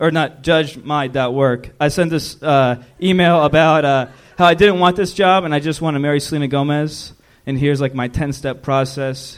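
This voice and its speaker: Speaking with an American accent, a man with a fairly high voice keeps a fairly even intonation at a moderate pace. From Columbus, Ohio. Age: 20s. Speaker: stand-up comedian. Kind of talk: stand-up; casual chat. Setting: stage with audience.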